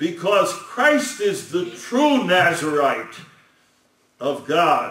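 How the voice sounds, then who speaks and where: A man is speaking. Audible room echo is present. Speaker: lecturer on scripture. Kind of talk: sermon.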